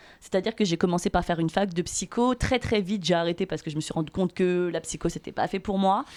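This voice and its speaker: A woman at a medium pitch and very fast pace, with ordinary pitch variation and hardly any pauses, in a very clean recording with a silent background. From Paris region, Seine-et-Marne (France). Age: 30s. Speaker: podcast guest. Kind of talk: casual chat.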